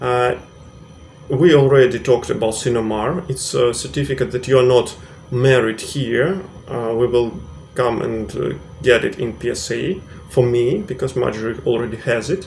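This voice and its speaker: Noticeable background noise runs under this recording. A man speaks at medium pitch with a Russian accent. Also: ordinary pitch variation, moderate pace. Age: 30s. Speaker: vlogger. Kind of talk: tutorial. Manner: halting, many fillers.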